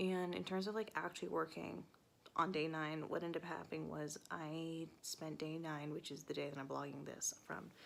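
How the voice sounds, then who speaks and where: At a moderate pace, a woman speaks quietly. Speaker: author vlogger. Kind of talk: casual vlog. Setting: at home on the couch at night. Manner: quiet, keeping voice down; hesitant with fillers.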